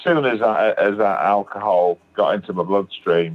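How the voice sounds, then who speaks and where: With a British accent, a man talks at a moderate pace in a fairly low pitch with lively intonation. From northern England, Manchester. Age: 60s. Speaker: recovering alcoholic sharing his story. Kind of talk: testimony.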